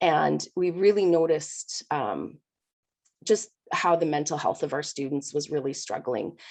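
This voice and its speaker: With vocal fry and a very deep, low pitch, a woman speaks at a fairly slow pace with ordinary pitch variation. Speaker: primary school teacher. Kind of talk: panel presentation. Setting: video call.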